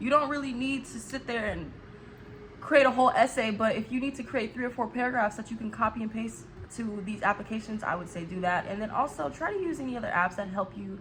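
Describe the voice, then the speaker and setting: Over noticeable background noise, a woman talks in an animated tone at a fairly quick pace and fairly high pitch, with ordinary pitch variation. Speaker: YouTuber. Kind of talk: casual vlog talk. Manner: fast.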